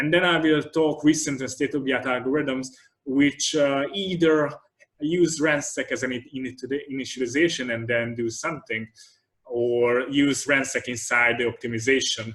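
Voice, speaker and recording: A man talks with an ordinary speaking voice at a fairly high pitch. His intonation stays fairly even and his pace is moderate. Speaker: computer vision researcher giving a tutorial talk. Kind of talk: lecture.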